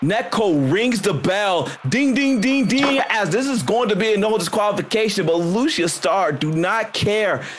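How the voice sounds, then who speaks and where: A man with a high pitch speaks at a fairly slow pace, his intonation lively and his loudness very even, over noticeable background noise. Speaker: game master and podcast host. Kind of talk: tabletop actual-play session with wrestling promo bits. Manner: animated, jokey, laughs often.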